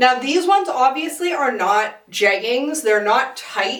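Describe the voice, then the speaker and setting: A woman talks at a moderate pace with lively intonation. Noticeable background noise can be heard. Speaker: fashion reviewer. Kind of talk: casual talk to camera.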